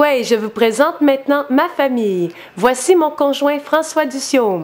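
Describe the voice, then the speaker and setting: Lively intonation from a woman at a high pitch, fairly slow in pace, with noticeable background noise. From Quebec, Lac-Saint-Jean Innu community. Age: 30s. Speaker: schoolteacher. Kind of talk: candidate self-presentation video.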